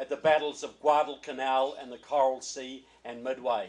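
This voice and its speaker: A man is speaking. He has a New Zealand accent. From New Zealand, Christchurch. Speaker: political author and speaker. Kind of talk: political speech. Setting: reception with audience.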